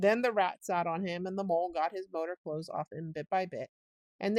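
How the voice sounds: The voice is a natural reading voice with ordinary pitch variation. Behind it, the background is quiet.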